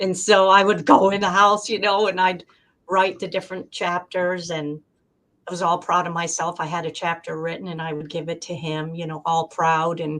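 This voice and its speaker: A woman with a plain, everyday voice speaks at a fairly low pitch and moderate pace, with fairly even intonation and big swings in loudness. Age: 60s. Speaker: debut author. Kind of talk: interview. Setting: live stream.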